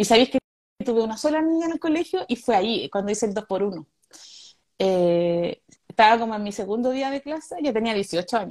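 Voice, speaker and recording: A woman speaks at a moderate pace with lively intonation and a fairly high pitch. The sound is dry and close, with no echo. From Chile, Santiago (Conchalí). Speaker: stand-up comedian. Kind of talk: interview.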